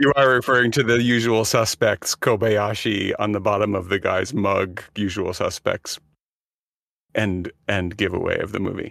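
A man has an ordinary speaking voice and fairly even intonation at a moderate pace. The sound is dry and close, with no echo. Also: fairly low pitch for a man. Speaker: podcast co-host and writer. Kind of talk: casual banter, joking.

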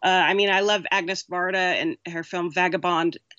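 A woman speaks with an American accent in a medium pitch at a moderate pace. It is an unremarkable speaking voice. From southern California (Orange County). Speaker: screenwriter and director. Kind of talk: interview.

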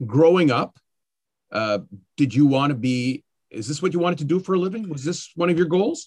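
A man with a Canadian accent has an unremarkable speaking voice and lively intonation at a moderate pace. The sound is dry and close, with no echo. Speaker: podcast host and school board communications worker. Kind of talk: interview conversation.

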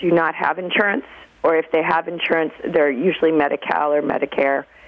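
Through noticeable background noise, a woman talks at a fairly low pitch with ordinary pitch variation. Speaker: nurse. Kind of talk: interview.

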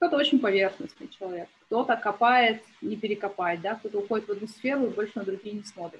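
A somewhat breathy woman's voice, fairly high in pitch, at a very fast pace with hardly any pauses and ordinary pitch variation. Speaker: business tracker and marketer. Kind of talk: interview podcast conversation.

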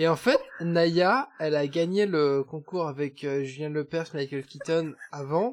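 Talking at a very slow pace, a man uses a fairly high pitch for a man with ordinary pitch variation. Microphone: wrong or poor microphone.

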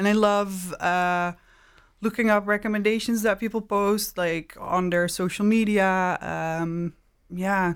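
A woman speaks with a Dutch accent at a fairly slow pace and medium pitch. Her intonation is monotone and flat, in a very clean recording with a silent background. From southern Netherlands (Maastricht). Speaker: tattoo artist and illustrator. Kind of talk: casual interview. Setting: studio.

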